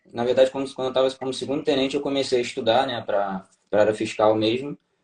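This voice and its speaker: Fairly even in intonation, a man with a Rio de Janeiro accent speaks at medium pitch. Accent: Rio de Janeiro Brazilian Portuguese (carioca). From Brazil, Rio de Janeiro. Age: 30s. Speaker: tax auditor, former navy officer. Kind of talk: interview testimony. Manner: halting, many fillers.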